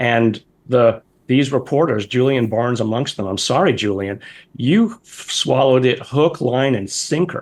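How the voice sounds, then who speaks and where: Talking at a moderate pace, a man uses a medium pitch with ordinary pitch variation. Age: 60s. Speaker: scientist and professor. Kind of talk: interview. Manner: pointed, emphatic.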